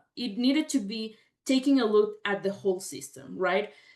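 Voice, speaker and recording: A woman with a Mexican accent, fairly high in pitch, lively in intonation, at a fairly slow pace. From Mexico, Mexico City. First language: Spanish. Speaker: veterinarian and dairy management specialist. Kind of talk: career talk presentation.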